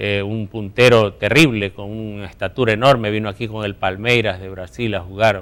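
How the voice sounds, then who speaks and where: A man with a fairly low voice speaks at a moderate pace with fairly even intonation, hardly any pauses and big swings in loudness, in a very clean recording with a silent background. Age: 60s. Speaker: sports journalist. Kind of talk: interview. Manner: halting.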